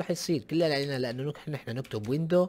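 A man at a fairly high pitch, very fast and animated, with lively intonation. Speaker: gaming YouTuber. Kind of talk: casual vlog commentary.

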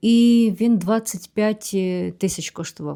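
The tone is dark and mellow. A very clean recording leaves the background silent. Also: woman. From Ukraine. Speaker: vlogger. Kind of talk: Q&A vlog monologue.

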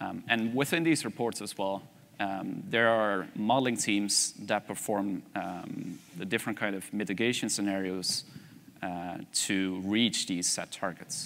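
In a Dutch accent, a man talks at a fairly slow pace. His pitch is fairly low, with ordinary variation. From Netherlands. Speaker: energy systems researcher; conference presenter. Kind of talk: conference presentation.

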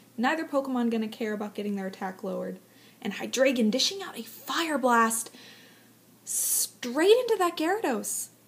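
Over noticeable background noise, a woman talks at a moderate pace with a high pitch, lively intonation and big swings in loudness. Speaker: aspiring live esports commentator. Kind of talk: esports live commentary audition.

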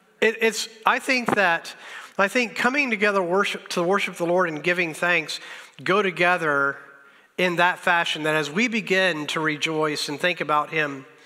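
Against a quiet background, a man speaks at a moderate pace. His voice is high, with ordinary pitch variation. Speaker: pastor. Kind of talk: sermon. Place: church.

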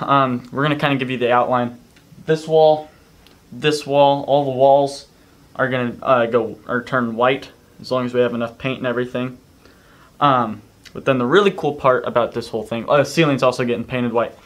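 The man's delivery keeps a moderate pace, and his pitch varies in an ordinary way. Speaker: vlogger. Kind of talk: casual vlog chat. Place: home room. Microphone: camera far.

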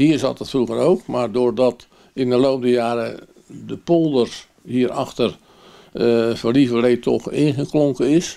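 With a dark, mellow tone, a man talks fairly slowly over a quiet background. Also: ordinary pitch variation. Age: 80s+. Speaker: miller. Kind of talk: interview answer. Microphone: handheld.

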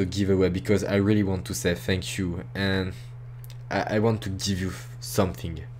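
A man with a French accent speaks at a moderate pace, his fairly low voice carrying lively intonation. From France. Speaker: YouTuber. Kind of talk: casual address to viewers. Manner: halting.

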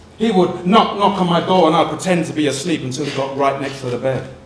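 In a room with audible echo and light background noise, a man speaks at a fairly quick pace in a high pitch with ordinary pitch variation. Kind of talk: performed poetry monologue. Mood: emotional, yearning. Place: stage.

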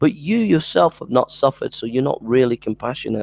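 At a fairly quick pace, a man with a medium pitch and a slightly mellow tone speaks with lively intonation and vocal fry, the sound dry and close with no echo.

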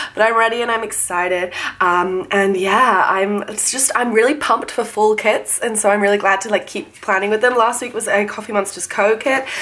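Noticeable background noise surrounds a woman with a fairly high pitch. She talks at a fairly quick pace with fairly even intonation. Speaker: planner vlogger. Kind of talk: casual vlog talk. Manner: filler-heavy casual.

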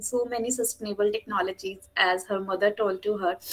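A woman speaks with an Indian accent. Her fairly high voice keeps a fairly even intonation. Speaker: webinar moderator. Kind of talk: event moderation. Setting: video call. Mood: cheerful, warm. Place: home room.

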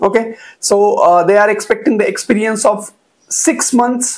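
In a quiet background, a man with an Indian accent speaks at a moderate pace, his high pitch showing ordinary variation. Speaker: YouTuber sharing job openings. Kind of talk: tutorial-style informational video. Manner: frequent hesitations with uh. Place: home room. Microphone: lapel.

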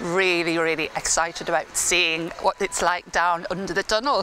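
A woman with a fairly low pitch and a bright, sharp tone speaks at a moderate pace with fairly even intonation over faint background noise.

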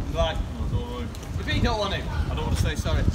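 A man speaks at a very fast pace. Loud noise fills the background. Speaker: teacher and street preacher. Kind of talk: street preaching, open-air address to passers-by. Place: street.

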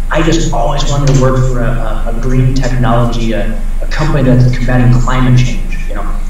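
In a room with strong echo and light background noise, a man talks with an American accent. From Iowa. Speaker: tech recruiter. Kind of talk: lecture. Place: office. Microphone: webcam.

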